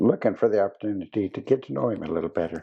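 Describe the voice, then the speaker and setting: Lively intonation marks this man's speech. He has an American accent. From US, southeast Montana. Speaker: interviewer. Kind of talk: interview conversation.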